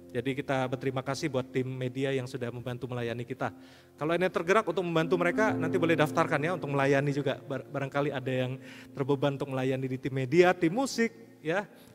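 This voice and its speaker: Very fast male speech, fairly high-pitched for a man, with ordinary pitch variation and music in the background. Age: 50s. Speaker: pastor. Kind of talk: sermon.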